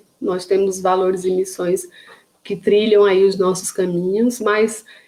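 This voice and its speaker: A woman with a Paraíba accent speaks at a moderate pace in a monotone, flat intonation. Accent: northeastern Brazilian (Paraíba). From Paraíba, northeastern Brazil. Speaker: psychologist and neuropsychologist. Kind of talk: online lecture (live stream). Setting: live stream on social media. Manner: hesitant, many fillers and repetitions.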